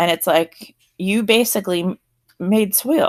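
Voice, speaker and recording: A woman with an American accent speaks at a medium pitch with ordinary pitch variation in a very clean recording with a silent background. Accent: South Jersey, occasional. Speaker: teacher. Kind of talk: lecture. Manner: casual, conversational.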